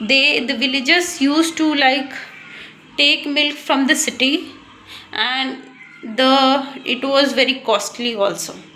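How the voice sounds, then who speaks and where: A high-pitched woman with an Indian accent at a very slow pace, fairly even intonation, audible room echo and noticeable background noise. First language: Hindi. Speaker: English learner vlogger. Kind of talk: casual monologue, speaking practice. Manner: halting, many fillers and restarts.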